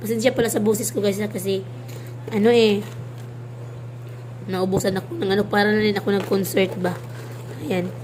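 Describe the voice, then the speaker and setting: Noticeable background noise and audible room echo surround a woman who speaks at a fairly quick pace with a medium pitch, very wide pitch swings, and long, frequent pauses. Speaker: vlogger. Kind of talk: casual vlog showing food. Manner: halting, many fillers.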